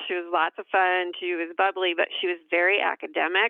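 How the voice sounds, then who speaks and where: Moderate-paced speech from a woman with an American accent. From Iowa, US Midwest. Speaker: pharmacist in pharmaceutical industry. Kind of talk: interview conversation.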